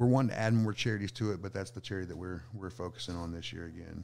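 This man has a fairly low pitch and an American accent. His pitch variation is ordinary. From Southeast Texas. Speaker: food truck owner. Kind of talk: casual chat.

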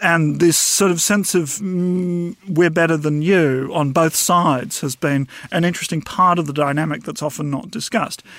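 A high-pitched man with a New Zealand accent at a moderate pace, hardly any pauses, ordinary pitch variation and noticeable background noise. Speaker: historian. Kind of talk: interview.

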